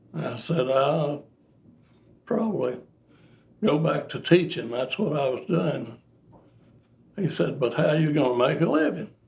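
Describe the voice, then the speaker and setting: With an Appalachian accent, a man speaks at a fairly slow pace, leaving long, frequent pauses. His voice is somewhat breathy and fairly high in pitch. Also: ordinary pitch variation. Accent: Appalachian Kentucky. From Kentucky. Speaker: air force veteran, former teacher. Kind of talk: interview answer.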